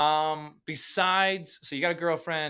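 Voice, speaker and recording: In an American accent, a man sounds animated and bright, with a sharp tone, on a very clean recording with a silent background. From US Upper Midwest, Fargo, North Dakota. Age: 30s. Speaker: podcast host. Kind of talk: interview podcast.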